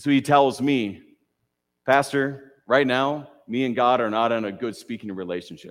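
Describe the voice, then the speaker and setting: In a very clean recording with a silent background, a man with an American accent speaks at a moderate pace, medium pitch and ordinary pitch variation. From Minnesota, US Midwest. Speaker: pastor. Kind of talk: sermon. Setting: church. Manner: hesitant fillers.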